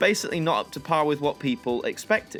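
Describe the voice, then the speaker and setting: The speech runs at a very fast pace with lively intonation. Music plays in the background. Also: man. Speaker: YouTube presenter. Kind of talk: casual news commentary to camera.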